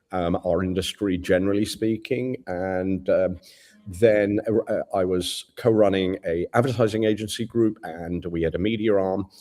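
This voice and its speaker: Over background music, a man with an English accent speaks at a moderate pace with fairly even intonation. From England. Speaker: advertising agency CEO. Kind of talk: interview.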